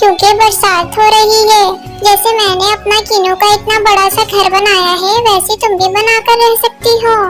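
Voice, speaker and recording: A cartoonish character voice moves at a moderate pace. Clear music plays in the background. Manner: calm, caring.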